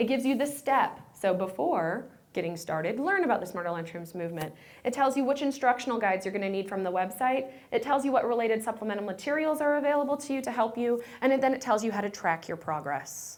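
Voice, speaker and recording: A woman talks at a very fast pace with a fairly high pitch and very wide pitch swings. Noticeable background noise and audible room echo surround her voice. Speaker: nutrition program manager presenting. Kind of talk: conference presentation. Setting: conference room with audience. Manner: animated.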